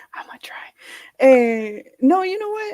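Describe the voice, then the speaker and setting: A woman speaks at a fairly slow pace in a high pitch with very wide pitch swings. Her tone is dark and mellow, and the sound is dry and close with no echo. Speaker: film critic covering a festival. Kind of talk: casual chat. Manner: loud, toning it down; quieter, lowered voice.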